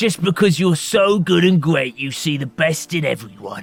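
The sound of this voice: Over faint background music, a man puts on a character voice with vocal fry, fairly high pitch and big pitch swings. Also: moderate pace.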